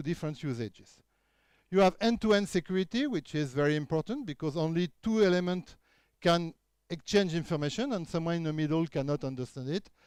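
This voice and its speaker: In a French accent, a man with a high voice talks at a fairly quick pace with ordinary pitch variation, the sound dry and close with no echo. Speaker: keynote speaker, researcher. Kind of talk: conference talk. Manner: halting with frequent fillers.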